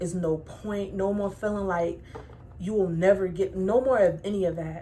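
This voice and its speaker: Audible room echo surrounds a woman of medium pitch speaking at a moderate pace. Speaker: tarot reader. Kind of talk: tarot reading.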